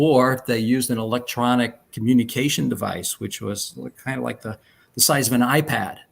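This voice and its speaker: A man with a slight New York accent speaks at a medium pitch and a moderate pace in a very clean recording with a silent background. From New York, Long Island. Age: 70s. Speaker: retired speech therapist and artist. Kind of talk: interview.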